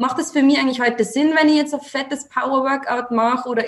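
In an Austrian accent, a woman speaks at a very fast pace with ordinary pitch variation. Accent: Austrian dialect, noticeable. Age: 20s. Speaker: female empowerment coach. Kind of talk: casual chat.

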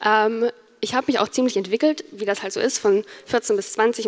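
Noticeable background noise sits behind a woman with a fairly high pitch. She talks at a moderate pace with ordinary pitch variation. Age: 20s. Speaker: YouTuber and student. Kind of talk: conference talk.

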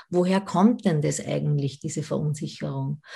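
A woman speaks at a fairly slow pace in a dark, mellow tone that is somewhat breathy. The background is quiet. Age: 40s. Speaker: sex educator. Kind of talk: interview. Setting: video call.

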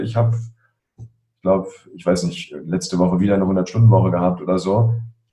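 With ordinary pitch variation, an ordinary speaking voice delivers its words at a fairly quick pace. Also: man. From Berlin (Spandau), Germany. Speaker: coach and emotion expert. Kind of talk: interview.

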